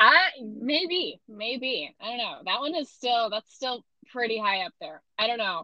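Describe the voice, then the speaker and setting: A woman with an American accent and a high pitch speaks fairly slowly with lively intonation. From US Midwest. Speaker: podcast co-host. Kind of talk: casual chat. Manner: animated.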